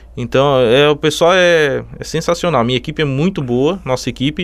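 At a moderate pace, a man with a fairly high pitch and ordinary pitch variation speaks in an ordinary speaking voice. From southern Santa Catarina, Brazil. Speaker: electrical supply store owner. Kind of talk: interview.

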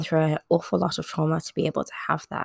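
Recorded very cleanly against a silent background, a woman speaks very fast in a very deep, low pitch with vocal fry and a dry, close sound with no echo. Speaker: solo podcast host. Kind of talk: informational narration on true crime and mental health. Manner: halting, with stops and restarts.

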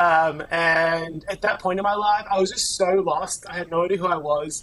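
With an Australian accent, a man with a high voice speaks at a moderate pace and ordinary pitch variation. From Melbourne, Australia. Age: 30s. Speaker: life coach. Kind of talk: casual chat. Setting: video call.

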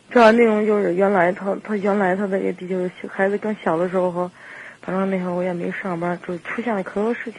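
Over noticeable background noise, a woman with a medium pitch speaks at a fairly quick pace in a monotone, flat intonation. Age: 30s. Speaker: radio call-in caller. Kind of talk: phone-in advice conversation.

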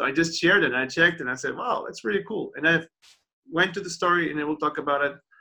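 This man has a high-pitched voice and a bright, sharp tone with ordinary pitch variation. He talks very fast with a Portuguese accent. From Portugal. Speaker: podcast host. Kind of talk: casual interview. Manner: halting, repeats words.

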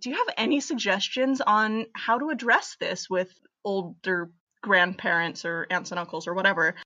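In an American accent, a woman with an ordinary speaking voice talks at a medium pitch with lively intonation. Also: moderate pace. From US, Pennsylvania. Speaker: listener, engaged. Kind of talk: voicemail. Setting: phone voicemail.

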